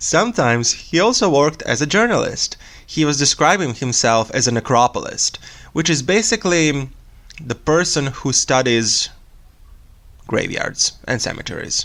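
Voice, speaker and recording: A man with a Serbian accent, at a moderate pace, with very wide pitch swings. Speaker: true crime podcast host. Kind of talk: casual storytelling podcast.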